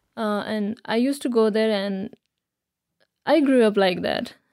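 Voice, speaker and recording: Speaking at a moderate pace with a Nepalese accent, a woman uses a fairly high pitch, a dark, mellow tone and fairly even intonation. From Nepal, Kathmandu area. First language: Nepali (speaking Slovak). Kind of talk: interview. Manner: halting.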